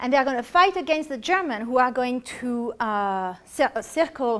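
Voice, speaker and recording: With a French accent, a woman speaks at a moderate pace in a high pitch with lively intonation. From France. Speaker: artist giving art history talks. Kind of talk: lecture with audience questions. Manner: halting, with many self-corrections.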